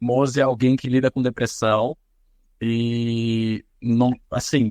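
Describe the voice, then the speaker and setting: A man's medium-pitched voice in a dry, close sound with no echo, over a quiet background. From interior of São Paulo state, Brazil (São José dos Campos). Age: 30s. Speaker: singer, actor and social media comedian. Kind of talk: podcast interview. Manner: hesitant, repeats words.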